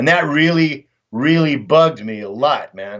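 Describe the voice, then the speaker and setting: With a Texan accent, a man speaks at a fairly high pitch. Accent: Texan American English. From Texas, Dallas. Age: 60s. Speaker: war veteran and volunteer fighter. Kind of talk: casual interview talk. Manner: animated.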